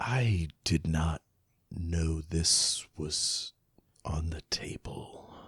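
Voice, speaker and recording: A man whispers in a put-on character voice at a very slow pace. The sound is dry and close, with no echo. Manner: whispering.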